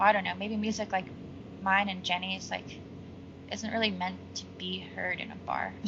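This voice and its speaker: A woman with an American accent speaks at a moderate pace with long, frequent pauses, and audible room echo can be heard. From Seattle, US Pacific Northwest. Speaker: singer-songwriter. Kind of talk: interview.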